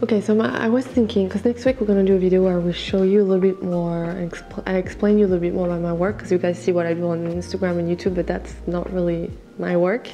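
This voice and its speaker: A woman with a French accent talks quietly at a very fast pace. Music plays in the background. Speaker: makeup artist. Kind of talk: makeup tutorial. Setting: at home. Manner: quiet, talking low.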